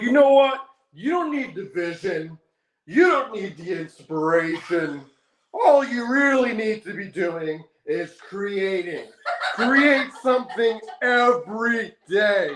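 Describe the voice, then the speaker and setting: A put-on character voice is pitched fairly high. It moves at a fairly slow pace. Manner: over-enunciated, serious, authoritative.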